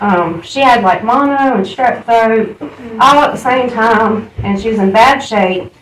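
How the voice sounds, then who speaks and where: Over noticeable background noise, a woman with a Southern US accent speaks at a moderate pace in a fairly high pitch with lively intonation. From US South, Charlotte, North Carolina. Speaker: AA speaker. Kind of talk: recovery testimony.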